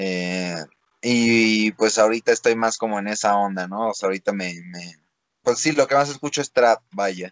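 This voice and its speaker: A man's unremarkable speaking voice at a fairly low pitch, with ordinary pitch variation, a moderate pace, and a dry, close sound with no echo. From Mexico. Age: 20s. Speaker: freestyle rapper. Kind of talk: interview. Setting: video call.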